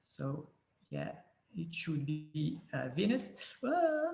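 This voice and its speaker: A man with a French accent speaks at a very slow pace. Room echo is audible. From France. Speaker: planetarium presenter. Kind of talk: conference presentation. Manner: halting, many filler sounds.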